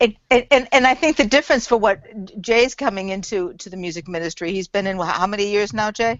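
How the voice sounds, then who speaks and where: Speaking at a very fast pace, a woman uses lively intonation at a medium pitch. Her loudness swings a lot. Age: 60s. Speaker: church music minister. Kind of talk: casual chat.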